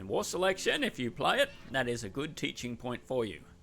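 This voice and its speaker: In an Australian accent, someone talks at a moderate speed. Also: man. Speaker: game caster. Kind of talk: live commentary. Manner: animated.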